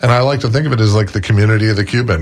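Noticeable background noise fills the recording. Over it, a man talks in an American accent. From Florida, St. Petersburg. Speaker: restaurant representative and book author. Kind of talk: radio interview.

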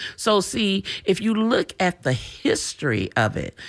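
On a very clean recording with a silent background, a woman talks at a very slow pace, her voice showing vocal fry and very wide pitch swings. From Tampa, Florida. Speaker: civil rights organization leader. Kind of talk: radio interview. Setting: radio studio.

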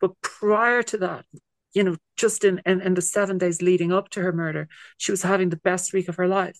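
Talking at a fairly quick pace with an Irish accent, a woman uses a medium pitch and monotone, flat intonation, recorded with a dry, close sound and no echo. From Ireland. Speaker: singer-songwriter. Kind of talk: casual interview chat.

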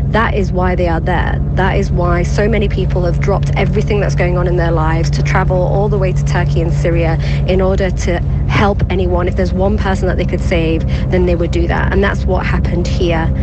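With music in the background, a woman speaks at a fairly quick pace in a very deep, low pitch, her intonation monotone and flat and her loudness very even. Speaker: news reporter. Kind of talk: reporting. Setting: voice note recorded in the field.

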